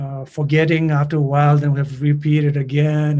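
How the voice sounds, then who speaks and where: With a Tibetan accent, a man talks at a fairly quick pace in a dark, mellow, somewhat breathy tone, his fairly high pitch held in a monotone, flat intonation. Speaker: singer and songwriter. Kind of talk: interview. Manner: halting.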